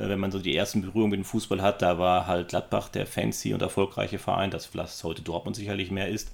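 Very fast and with hardly any pauses, a man speaks at a very deep, low pitch with vocal fry and fairly even intonation. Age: 50s. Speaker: podcast co-host. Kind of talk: casual chat.

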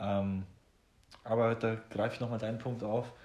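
The recording has audible room echo as a man talks at a moderate pace. His medium-pitched voice is somewhat breathy. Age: 20s. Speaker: podcast host. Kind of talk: casual chat.

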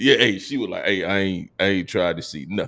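This is a man with an American accent and a plain, everyday voice. His pitch sits fairly low. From Georgia, US (Columbus). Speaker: podcast host, navy veteran. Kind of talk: casual chat. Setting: video call.

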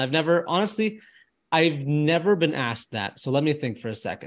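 Over a quiet background, a man in an ordinary speaking voice talks at a moderate pace with a fairly high pitch and lively intonation. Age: 20s. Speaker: filmmaker and travel content creator. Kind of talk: interview conversation.

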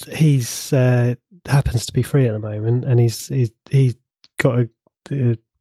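A somewhat breathy voice with a dark, mellow tone speaks in flat, monotone intonation, recorded dry and close with no echo. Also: man. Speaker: podcast co-host, IT professional. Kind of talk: casual chat.

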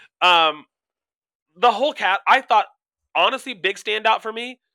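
Bright and sharp in tone, a man with a high pitch speaks in a raised, projected, animated voice with lively intonation and long, frequent pauses, in a dry, close sound with no echo. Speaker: podcast co-host. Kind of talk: casual chat.

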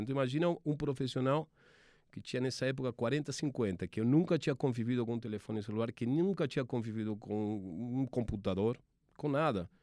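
Over a quiet background, a man with an Argentine accent speaks fairly quickly in a dark, mellow tone with ordinary pitch variation. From Argentina. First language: Spanish (speaking Portuguese). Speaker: sports TV producer. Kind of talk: interview. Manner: halting, many repetitions.

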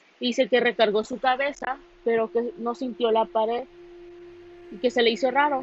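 Keeping a moderate pace, a woman with a fairly high pitch talks in fairly even intonation. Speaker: amateur podcaster. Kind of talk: casual monologue. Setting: alone in a quiet room. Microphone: phone recording.

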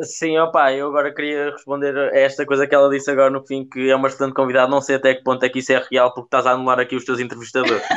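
A man talks at a very fast pace with hardly any pauses, at medium pitch. His intonation is monotone and flat, and there is noticeable background noise. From central Portugal. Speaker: podcast co-host. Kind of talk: casual chat.

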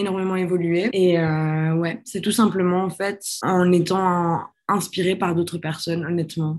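A woman talks at a very slow pace with a fairly low pitch. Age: 20s. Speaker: young activist. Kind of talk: interview testimony.

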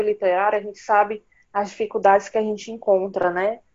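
At a moderate pace, a woman with a plain, everyday voice speaks at a fairly high pitch. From Ceará, northeastern Brazil. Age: 30s. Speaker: writer and nurse. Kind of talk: interview conversation.

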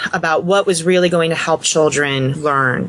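Delivered at a moderate pace, the speech comes with a Mid-Atlantic US accent. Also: woman. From US Mid-Atlantic, Montgomery County, Maryland. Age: 30s. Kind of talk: podcast interview.

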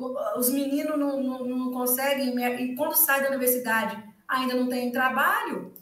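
A woman with a high pitch speaks at a fairly slow pace in a monotone, flat intonation. Audible room echo surrounds her voice. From rural Minas Gerais, Brazil. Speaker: economics professor. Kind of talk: casual interview chat. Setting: livestream video recording.

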